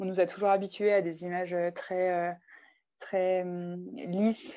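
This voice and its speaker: A woman speaks with a medium pitch over a quiet background. Her intonation stays monotone and flat. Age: 20s. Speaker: paralympic alpine skier. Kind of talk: interview.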